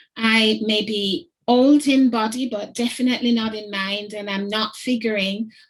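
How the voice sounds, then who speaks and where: A woman's fairly high, somewhat breathy voice at a fairly slow pace, with fairly even intonation. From Jamaica. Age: 60s. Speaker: head teacher. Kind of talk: symposium talk.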